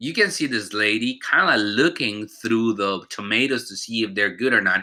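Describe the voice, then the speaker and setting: The recording is very clean with a silent background, carrying a man at medium pitch. He has a bright, sharp tone, lively intonation and a moderate pace. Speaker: teacher. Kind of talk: recorded vocabulary lesson. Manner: informal, conversational.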